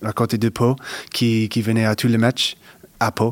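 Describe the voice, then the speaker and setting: A man speaks with an American accent at a medium pitch. His pace is very slow, and the sound is dry and close with no echo. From US Northeast, Connecticut. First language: English (speaking French). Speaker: professional basketball player. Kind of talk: interview. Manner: halting, many repetitions and hesitations.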